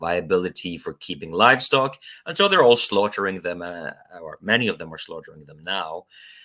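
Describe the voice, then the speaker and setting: A man speaks with a Norwegian accent. His pitch varies in an ordinary way. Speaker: spiritual YouTuber. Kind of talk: casual monologue vlog. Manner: halting, many fillers.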